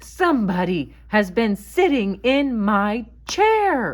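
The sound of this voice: Putting on a gruff character voice, a woman speaks at a very slow pace and a fairly high pitch.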